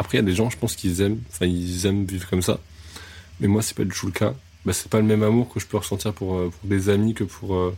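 A man with a very deep, low pitch speaks at a very fast pace, with ordinary pitch variation. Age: 20s. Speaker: music photographer. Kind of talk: casual interview chat. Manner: hesitant, repeats words.

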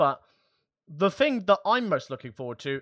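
A man with an English accent at a moderate pace, in a dry, close sound with no echo, over a quiet background. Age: 20s. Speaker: tech podcast co-host. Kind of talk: casual chat.

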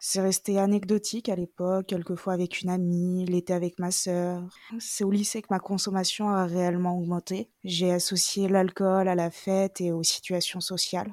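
The woman's medium-pitched voice stays monotone and flat, her loudness very even, captured as a dry, close sound with no echo. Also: moderate pace. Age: 20s. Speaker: security guard sharing her story. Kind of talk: testimony.

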